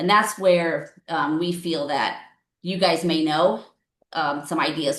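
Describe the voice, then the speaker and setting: A woman's very deep, low voice moves along at a fairly slow pace. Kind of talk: public meeting presentation. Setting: county board meeting.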